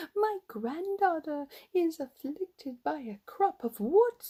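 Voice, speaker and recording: Using a put-on, squeaky character voice, a woman talks at a fairly slow pace with an extremely high pitch and very wide pitch swings. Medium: read story. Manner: polite, humble.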